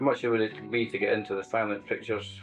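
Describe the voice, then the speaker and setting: A Scottish-accented man at a very fast pace over music in the background. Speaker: oral history interviewer.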